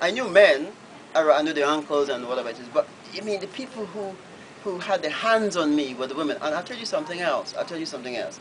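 A man speaks very fast in a high pitch, with very wide pitch swings. Light background noise sits behind him. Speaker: novelist. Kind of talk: Q&A answer at a book reading. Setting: bookshop event, live audience. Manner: hesitant, repetitive. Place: shop. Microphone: camera far.

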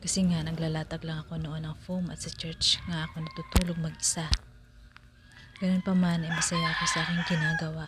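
Over noticeable background noise, a woman speaks at a fairly low pitch and a fairly quick pace. Her intonation is monotone and flat. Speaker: vlogger. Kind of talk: voice-over narration.

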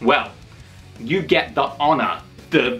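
Faint music sits behind a man as he speaks. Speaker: wrestling channel host. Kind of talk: casual talk to camera. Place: home room. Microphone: phone near.

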